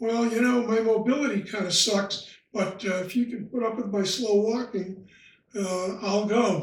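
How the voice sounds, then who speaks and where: A high-pitched man's voice with fairly even intonation at a fairly slow pace, in audible room echo. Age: 80s+. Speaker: retired lodge member. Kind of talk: interview. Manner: halting.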